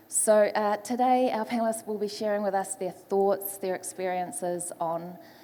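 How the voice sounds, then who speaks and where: A woman speaks with a New Zealand accent. Her pitch varies in an ordinary way. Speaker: panel moderator, foresight specialist. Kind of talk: panel moderation. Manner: hesitant, many fillers.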